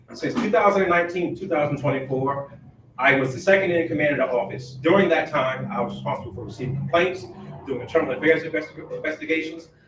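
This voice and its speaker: Very fast speech with lively intonation and an American accent comes through noticeable background noise and audible room echo. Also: man. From Virginia, Hampton Roads (Chesapeake). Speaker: sheriff. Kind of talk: candidate forum speech. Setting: public forum with audience.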